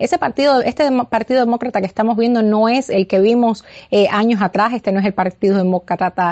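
A woman speaks in a fairly high pitch at a moderate pace. Her pitch varies in an ordinary way. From Cuba. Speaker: political campaign media director. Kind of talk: interview. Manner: halting.

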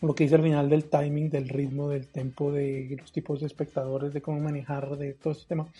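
Loudness swings widely in this somewhat breathy, dark and mellow voice, which stays monotone and flat in intonation with hardly any pauses. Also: man, fairly high pitch for a man. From Colombia, Pasto. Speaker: podcast co-host, magician and stand-up comedian. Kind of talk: casual chat about a book. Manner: halting, many repetitions.

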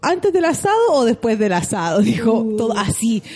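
Amid noticeable background noise, a woman speaks fairly quickly in an animated tone with very wide pitch swings. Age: 40s. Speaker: podcast co-host. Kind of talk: casual chat.

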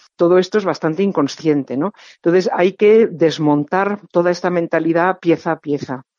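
A woman's fairly low-pitched voice, an ordinary speaking voice at a moderate pace with ordinary pitch variation. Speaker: novelist and professor. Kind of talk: interview.

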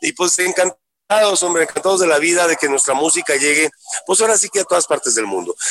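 In a dry, close sound with no echo, a man rattles off words at a very fast pace and a high pitch. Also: ordinary pitch variation, very even loudness. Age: 50s. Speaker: musician. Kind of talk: interview. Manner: halting.

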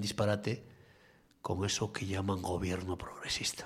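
Speaking in a flat monotone, a man has a somewhat breathy voice at a fairly low pitch. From Asturias, Spain (Cudillero). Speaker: radio host. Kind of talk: opinion editorial and talk radio.

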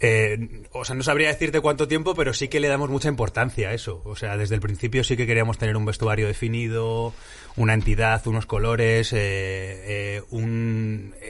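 Male speech in a plain, everyday voice, medium in pitch, moderately paced, with fairly even intonation. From Madrid, Spain. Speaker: improv actor. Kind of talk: interview.

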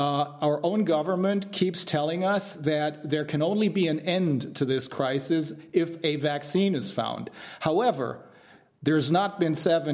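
Speaking with a German accent, a man with a fairly high pitch talks at a fairly slow pace. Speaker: trial lawyer, committee founder. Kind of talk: interview. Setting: livestream video call. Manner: halting.

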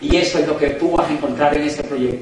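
With audible room echo and noticeable background noise around him, a man is talking. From Colombia. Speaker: motivational business speaker. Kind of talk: motivational talk. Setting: stage with audience. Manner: animated.

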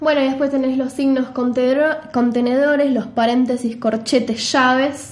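Delivered in a Rioplatense accent at a fairly slow pace, the speech has monotone, flat intonation, very even loudness and hardly any pauses. Background noise is noticeable. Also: woman, high pitch for a woman. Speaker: podcast co-host, typography explainer. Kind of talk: casual chat.

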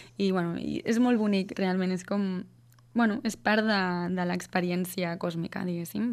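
On a very clean recording with a silent background, a woman uses an ordinary speaking voice at medium pitch, with fairly even intonation and a fairly slow pace. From Catalonia, Vallès. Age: 20s. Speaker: singer-songwriter. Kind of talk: radio interview.

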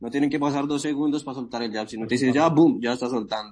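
Fairly even intonation marks this very fast delivery in a Bogotá accent. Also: man. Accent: Colombian Spanish (Bogotá). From Colombia, Bogotá. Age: 20s. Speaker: amateur MMA fighter. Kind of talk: interview. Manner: halting, repetitive.

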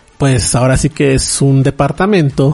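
With a Mexican accent, a man speaks at a fairly high pitch for a man, his pitch varying in an ordinary way. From Mexico. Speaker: podcast host, anime news site director. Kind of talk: casual solo podcast talk. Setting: recording alone at home.

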